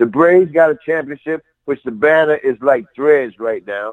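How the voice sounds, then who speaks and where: A man with a fairly high pitch and ordinary pitch variation. He has a normal speaking voice and talks at a moderate pace. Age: 50s. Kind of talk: casual chat.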